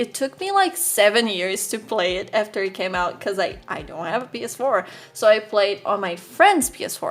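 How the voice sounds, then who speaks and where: A woman with a non-native accent speaks in an animated tone at a fairly high pitch with ordinary pitch variation and hardly any pauses. Music plays in the background. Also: moderate pace. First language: not English. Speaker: artist and YouTuber. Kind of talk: casual voiceover commentary.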